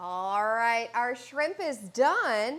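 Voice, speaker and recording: Speaking with a slight Southern US accent and very wide pitch swings, the voice comes through in a very clean recording with a silent background. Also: woman. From North Carolina. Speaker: fitness and cooking vlogger. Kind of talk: cooking tutorial. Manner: casual, chatty.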